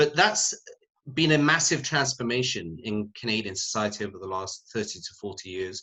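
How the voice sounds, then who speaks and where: The speaker has a British accent. The loudness swings widely. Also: man, medium pitch for a man, lively intonation, moderate pace. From UK. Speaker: sociology professor. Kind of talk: panel discussion.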